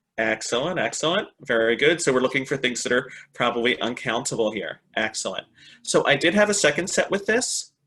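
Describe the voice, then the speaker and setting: A man with an American accent speaks at a fairly high pitch with lively intonation and a bright, sharp tone. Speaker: English teacher trainer, webinar presenter. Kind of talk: online teaching webinar. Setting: online webinar. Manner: animated.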